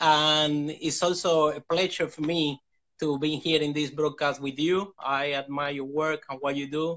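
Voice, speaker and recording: At a moderate pace, a man with a non-native accent speaks in a fairly high pitch with a bright, sharp tone. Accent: foreign. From Cuba. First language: Spanish. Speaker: motivational speaker. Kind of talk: interview storytelling. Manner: halting.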